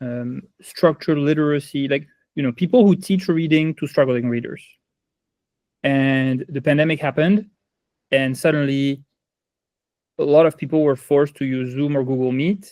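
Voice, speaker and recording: A man with a strong French accent speaks at a moderate pace in a fairly high voice, with fairly even intonation and long, frequent pauses. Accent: heavy French. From France. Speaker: ed-tech company founder. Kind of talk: interview.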